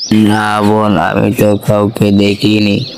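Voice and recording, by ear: A man puts on a cartoonish character voice at a fairly low pitch. Clear background noise can be heard.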